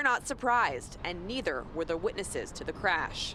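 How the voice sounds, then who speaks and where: There is noticeable background noise behind a woman's voice. She speaks at medium pitch and a moderate pace with lively intonation. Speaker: television news reporter. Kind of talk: TV news field report, reporter reel.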